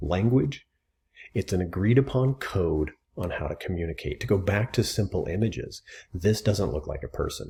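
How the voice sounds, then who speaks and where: Vocal fry in a dark, mellow tone. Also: man. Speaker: writing teacher. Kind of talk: educational lecture to camera. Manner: casual, conversational.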